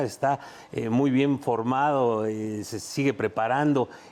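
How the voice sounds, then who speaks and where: Dark and mellow in tone, this man's voice sits at a medium pitch. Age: 60s. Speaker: former footballer and talent scout. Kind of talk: sports panel discussion.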